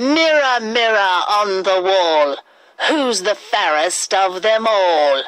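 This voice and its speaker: Using a put-on character voice, a woman speaks very slowly at a medium pitch, her loudness very even while her pitch swings very widely. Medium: read story.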